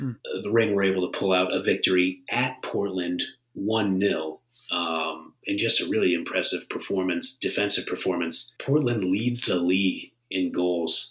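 This man has an ordinary speaking voice, fairly low in pitch with fairly even intonation, delivered at a fairly slow pace with an American accent. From Northeast Ohio, US. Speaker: sports betting podcast co-host. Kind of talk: casual chat.

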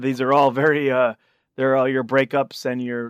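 In a very clean recording with a silent background, a man talks at a moderate pace and medium pitch in a normal speaking voice. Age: 30s. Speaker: punk musician. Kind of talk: casual chat.

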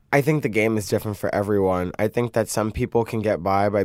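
A man speaks with an American accent. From US Northeast (Brooklyn, New York). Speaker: drag queen, reality show contestant. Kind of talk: casual interview.

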